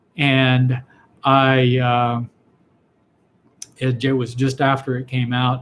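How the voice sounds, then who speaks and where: Somewhat breathy, a man's medium-pitched voice keeps to fairly even intonation. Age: 60s. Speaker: physician answering viewer questions. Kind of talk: live Q&A broadcast. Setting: live online video stream. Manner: halting, frequent fillers and repetitions.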